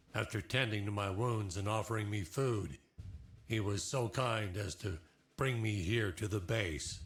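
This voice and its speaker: Delivered in a put-on character voice, the speech keeps a very even loudness and ordinary pitch variation. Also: man, fairly low pitch for a man, moderate pace. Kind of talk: military ceremony speech. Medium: video game.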